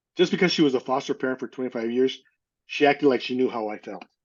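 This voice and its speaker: With an American accent, a man speaks at a medium pitch and keeps his intonation fairly even. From Northern California. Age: 60s. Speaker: adoptee sharing life story. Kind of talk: testimony. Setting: podcast interview. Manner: halting.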